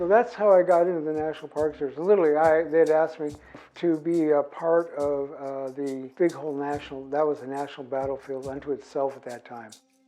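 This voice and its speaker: A man with an American accent and a plain, everyday voice speaks at a fairly quick pace and fairly high pitch, with fairly even intonation and big swings in loudness. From US Pacific Northwest, Nez Perce. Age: 60s. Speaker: artist and former park ranger. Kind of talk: interview testimony. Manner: relaxed, with frequent fillers.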